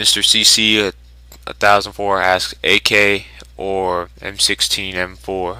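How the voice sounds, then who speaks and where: Speaking very slowly with an American accent, a man uses a fairly low voice and ordinary pitch variation. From US South. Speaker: YouTuber. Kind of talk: Q&A video. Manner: casual.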